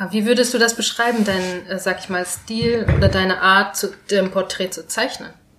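Over noticeable background noise, a woman speaks at a medium pitch and a moderate pace, with fairly even intonation and hardly any pauses. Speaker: podcast host. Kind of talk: casual interview. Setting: on location in Neukölln.

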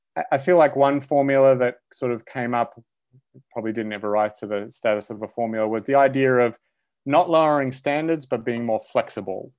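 A man with an Australian accent talks at a fairly quick pace and medium pitch, with ordinary pitch variation. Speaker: philosophy professor. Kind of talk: casual chat.

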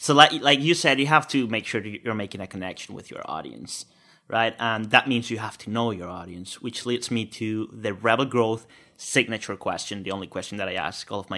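A man with a Spanish accent talks at a moderate pace and medium pitch, with ordinary pitch variation and big swings in loudness. His tone is bright and sharp, on a very clean recording with a silent background. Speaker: podcast host. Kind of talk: interview.

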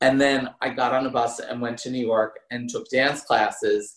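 A man with an American accent at a medium pitch, at a fairly slow pace. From US Northeast, New Jersey. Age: 50s. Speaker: former show dancer. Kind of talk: casual interview.

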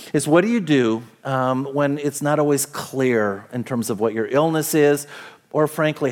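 A man talks with a normal speaking voice, keeping a moderate pace and ordinary pitch variation. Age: 50s. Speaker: pastor. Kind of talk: sermon. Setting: church.

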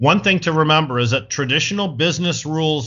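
This man's speech has ordinary pitch variation and a moderate speed. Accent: Michigan. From Michigan, Flint. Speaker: cannabis activist and entrepreneur. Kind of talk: interview. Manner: hesitant fillers (uh).

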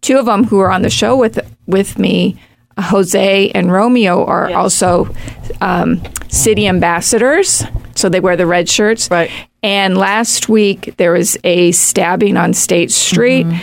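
A woman talks in a plain, everyday voice at a medium pitch with ordinary pitch variation. Her loudness stays very even. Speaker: youth program staff member. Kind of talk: casual chat.

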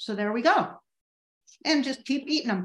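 With ordinary pitch variation, a woman's voice comes across somewhat breathy. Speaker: long distance backpacker. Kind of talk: show-and-tell demonstration.

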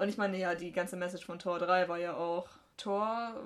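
A woman with a medium pitch speaks at a moderate pace in a plain, everyday voice. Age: 20s. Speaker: podcast co-host. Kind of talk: casual chat.

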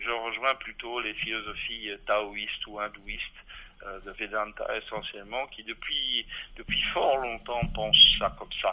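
A man speaks at a fairly slow pace, his loudness swinging widely from moment to moment. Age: 60s. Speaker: physicist and philosopher, author. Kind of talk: interview. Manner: halting, many repetitions.

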